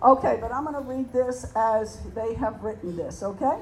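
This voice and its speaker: A woman's fairly quick speech shows ordinary pitch variation, with noticeable background noise underneath. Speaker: prayer meeting leader. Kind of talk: prayer. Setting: stage with audience.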